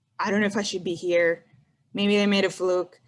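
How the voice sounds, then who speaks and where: A woman speaks with a Spanish accent. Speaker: engineer, panelist. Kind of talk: panel discussion. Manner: casual.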